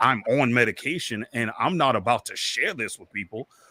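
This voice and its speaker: Bright and sharp in tone, a man speaks with lively intonation at a moderate pace. The sound is dry and close with no echo. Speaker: podcaster and interview guest. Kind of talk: candid interview conversation about mental health. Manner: loud, boisterous.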